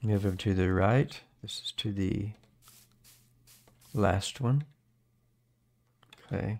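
Very slow and broken by long, frequent pauses, this man's speech sits at a fairly low pitch. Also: ordinary pitch variation. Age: 70s. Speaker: gaming video creator; gaming streamer. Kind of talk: gameplay commentary. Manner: casual, chatty. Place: home room. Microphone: studio mic.

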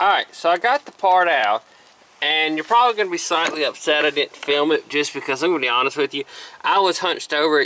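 A man speaks with ordinary pitch variation at a very fast pace. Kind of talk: tutorial. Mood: casual, joking. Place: open country. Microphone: phone near.

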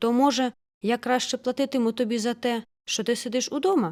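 Recorded very cleanly against a silent background, a woman puts on a character voice, high-pitched and fairly quick. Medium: read story. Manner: breezy, patronizing.

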